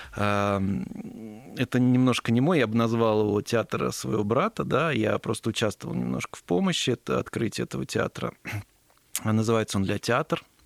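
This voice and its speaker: With an ordinary speaking voice, a man talks at a moderate pace and a fairly low pitch, his intonation lively and the sound dry and close with no echo. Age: 30s. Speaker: entrepreneur, company founder. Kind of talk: casual interview. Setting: studio.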